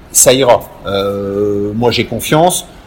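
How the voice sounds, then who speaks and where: A man talks at a fairly slow pace with lively intonation. Background noise is noticeable. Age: 50s. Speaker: winegrower. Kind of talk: interview. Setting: on location at a vineyard. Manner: halting, many repetitions and fillers.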